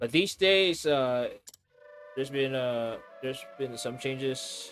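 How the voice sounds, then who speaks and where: Music plays behind a man who speaks at a very slow pace with ordinary pitch variation. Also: medium pitch for a man. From Philippines. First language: Filipino (Tagalog). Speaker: streamer. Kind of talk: casual chat. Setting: live stream.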